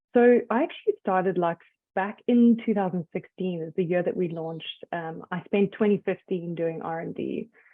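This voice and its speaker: Using a medium pitch and ordinary pitch variation, a woman with a South African accent speaks at a moderate pace. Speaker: skincare brand founder. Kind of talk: interview.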